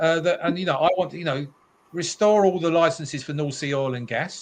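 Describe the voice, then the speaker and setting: Using a British accent, a man talks at a fairly quick pace with a high pitch and ordinary pitch variation. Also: quiet background. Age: 70s. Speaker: motorists' campaigner. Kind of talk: talk show discussion. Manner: animated.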